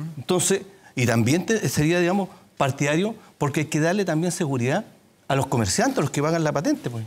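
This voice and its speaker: A man's fairly high-pitched voice at a fairly quick pace. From Puente Alto, Santiago, Chile; Chile. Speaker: city councillor and mayoral candidate; candidate. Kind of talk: televised political debate. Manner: halting, many fillers. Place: studio. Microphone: lapel.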